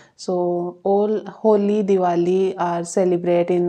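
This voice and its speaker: Medium pitch from a woman, monotone, flat intonation and a dark, mellow tone. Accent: Indian. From India (Rajasthan). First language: not English. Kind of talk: English-learner speaking practice talk to camera. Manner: slow, simple.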